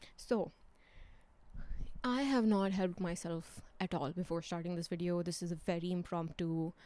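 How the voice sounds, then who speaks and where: A woman talks at a fairly low pitch in a dark, mellow tone, with ordinary pitch variation. She leaves long, frequent pauses. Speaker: book vlogger. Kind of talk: casual vlog monologue. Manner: slow, low volume.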